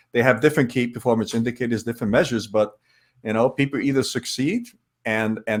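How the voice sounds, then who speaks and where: Speaking very fast, a man keeps a medium pitch. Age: 60s. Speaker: author and leadership speaker. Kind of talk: podcast interview. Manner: halting, repeats words.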